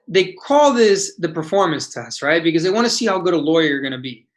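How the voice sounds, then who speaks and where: Someone speaks with a Spanish accent against a quiet background. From United States. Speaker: bar exam instructor. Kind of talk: webinar lecture. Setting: online webinar.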